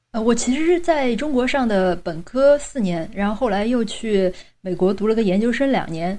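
Her tone is dark and mellow, her pitch fairly high. The woman talks at a moderate pace with lively intonation. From Chengdu, China. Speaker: guest who studied abroad in the US.

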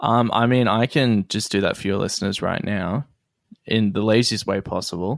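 A man with an Australian accent, fairly low in pitch, at a moderate pace with ordinary pitch variation, dry and close with no echo, on a very clean recording with a silent background. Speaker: comedian. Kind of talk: casual chat.

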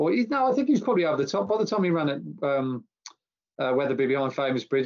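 A very fast British-accented male voice, fairly high in pitch. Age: 50s. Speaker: racing tipster and columnist. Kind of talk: casual chat. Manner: halting.

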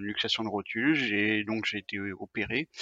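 This man's voice has a bright, sharp tone. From Brittany, France. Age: 40s. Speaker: sportsman living with dialysis. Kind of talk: interview conversation. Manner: hesitant with fillers and repetitions.

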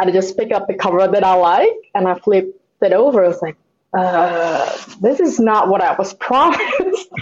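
In a normal speaking voice, a woman talks at a moderate pace and a medium pitch with ordinary pitch variation. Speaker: comic book artist. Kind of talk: casual conversation interview.

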